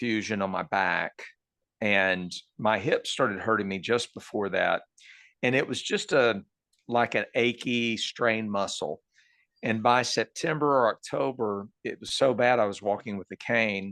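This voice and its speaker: Medium-pitched male voice with a Texan accent, a bright, sharp tone and ordinary pitch variation, dry, close sound with no echo, and a quiet background. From Texas, Dallas area. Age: 60s. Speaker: cancer patient. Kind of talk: interview.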